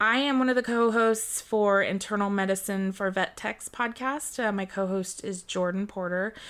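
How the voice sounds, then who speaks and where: On a very clean recording with a silent background, a woman speaks slowly at a fairly high pitch with fairly even intonation. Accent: American. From US West Coast, San Francisco Bay Area. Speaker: veterinary technician. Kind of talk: casual interview.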